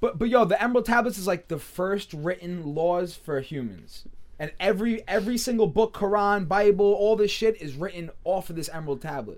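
A high-pitched man with an American accent, fairly quick, hardly any pauses, and ordinary pitch variation. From Long Island, New York. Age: 20s. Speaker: music producer. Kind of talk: casual chat.

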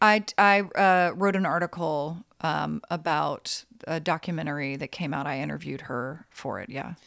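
Very deep, low-pitched female voice with vocal fry and an American accent, at a moderate pace with big swings in loudness. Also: ordinary pitch variation, very clean recording, silent background. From US South, North Carolina. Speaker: journalist and author. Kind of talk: interview conversation. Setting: at guest's home.

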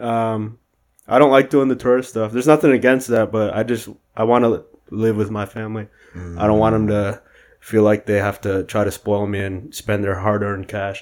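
A man with an American accent speaks at a moderate pace with fairly even intonation and a fairly low pitch. Music plays in the background. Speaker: podcast guest. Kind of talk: casual chat. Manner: monotone; mumbles.

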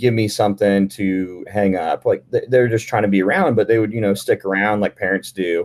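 Speaking at a moderate pace, a man uses a normal speaking voice, fairly low in pitch, with fairly even intonation. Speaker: bodybuilder and podcast co-host. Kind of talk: casual chat.

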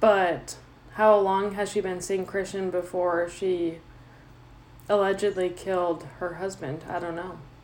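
Her delivery is monotone and flat, pitched in the medium range for a woman and held to a fairly slow pace. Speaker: podcast host. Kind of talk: casual chat. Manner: stutters.

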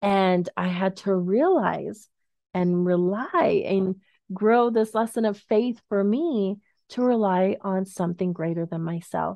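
Speaking very slowly, a woman has a warm tone, a medium pitch and ordinary pitch variation. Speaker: podcast host, financial professional. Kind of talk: solo podcast monologue. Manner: warm, encouraging.

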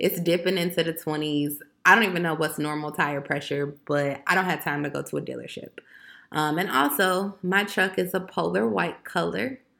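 A woman with an American accent speaks at a moderate pace in a very deep, low pitch, her tone bright and sharp with vocal fry. Her delivery is animated with lively intonation, on a very clean recording with a silent background. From Chicago, Illinois. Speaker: podcaster. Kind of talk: casual monologue rant.

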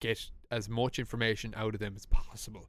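Speaking at a fairly slow pace, a man with an Irish accent and a medium pitch is heard in a very clean recording with a silent background. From Ireland. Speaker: podcast host. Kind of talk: casual chat.

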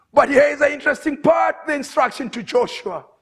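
This man speaks at a fairly quick pace in an extremely high pitch, with a fairly bright tone and ordinary pitch variation.

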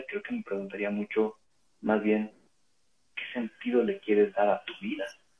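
This is a man speaking. He keeps a moderate pace. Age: 30s. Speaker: teacher. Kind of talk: casual chat.

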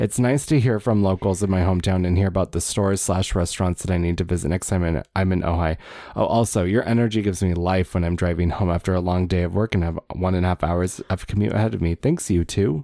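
A man with an American accent talks at a very fast pace with hardly any pauses and very even loudness. His voice is very deep and low, dark and mellow in tone, with ordinary pitch variation. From Wisconsin. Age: 30s. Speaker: departing podcast co-host. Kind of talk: casual chat.

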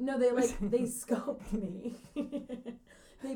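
A woman speaks loudly in a high pitch at a fairly slow pace. Noticeable background noise can be heard behind her. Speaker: podcast co-host. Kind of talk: casual, profane, chatty.

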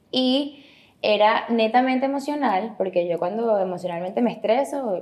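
The woman has a plain, everyday voice, talking at a moderate pace with lively intonation. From Venezuela. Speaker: actress and model. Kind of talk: casual interview chat.

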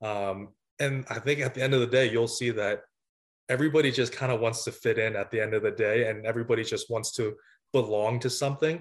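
With fairly even intonation, a man of medium pitch speaks at a very fast pace. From United States, moved from Vietnam at six. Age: 20s. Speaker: college volleyball coach. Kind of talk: interview. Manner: halting, with many fillers.

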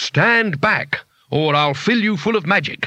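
Using a raspy put-on character voice, a man speaks at a fairly slow pace with a high pitch. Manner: bluffing, desperate.

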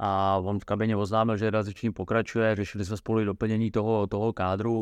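A man's fairly low voice, monotone and flat, at a fairly quick pace, with a dry, close sound, no echo and a quiet background. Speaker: football coach. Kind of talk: interview.

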